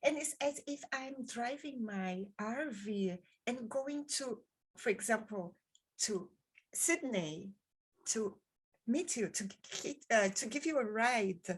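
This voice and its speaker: With a Brazilian Portuguese accent, a woman talks at a fairly high pitch with lively intonation. She speaks very slowly, leaving long, frequent pauses. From Brazil, Rio de Janeiro. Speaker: author and podcaster. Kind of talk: interview conversation.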